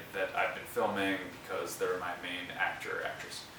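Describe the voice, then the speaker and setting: The recording has noticeable background noise and audible room echo. A man is speaking. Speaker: teacher. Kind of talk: classroom instruction. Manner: fast.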